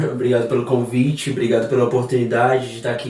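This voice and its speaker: Audible room echo surrounds a man's voice. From Brazil, southern Minas Gerais. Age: 30s. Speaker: hairdresser and salon owner. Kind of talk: podcast interview.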